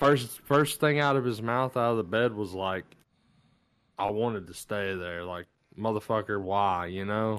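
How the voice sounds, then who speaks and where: Against a quiet background, a man talks in a normal speaking voice at a moderate pace. His pitch is fairly low, with ordinary pitch variation. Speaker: movie podcast co-host. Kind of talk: casual chat.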